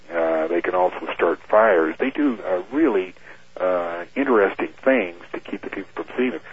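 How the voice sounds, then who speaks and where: With noticeable background noise behind him, a man with a very deep, low pitch speaks at a moderate pace, his intonation lively and his loudness swinging widely. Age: 50s. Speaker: airline captain and UFO researcher. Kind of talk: radio interview.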